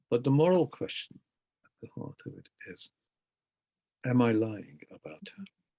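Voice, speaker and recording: In a Hungarian accent, a man speaks at a moderate pace, the sound dry and close with no echo. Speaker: poet. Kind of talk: interview. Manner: reflective, halting.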